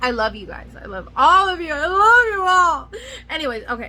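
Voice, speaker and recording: Raising and projecting her voice, a woman sounds animated as her pitch swings very widely. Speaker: nail care youtuber. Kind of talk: casual product review vlog. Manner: rambling, scattered delivery.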